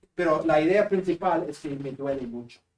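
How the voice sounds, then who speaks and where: This man has a northern Peruvian accent and a fairly high pitch. He speaks at a fairly slow pace. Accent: Spanish accent of northern Peru. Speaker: seminary professor. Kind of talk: lecture.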